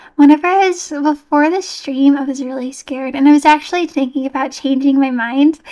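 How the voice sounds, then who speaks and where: Fairly quick speech over a quiet background. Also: woman. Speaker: livestreamer playing horror games. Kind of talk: casual livestream gameplay chat. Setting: live stream with online chat. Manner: animated, excitable. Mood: nervous, relieved, soft. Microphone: studio mic.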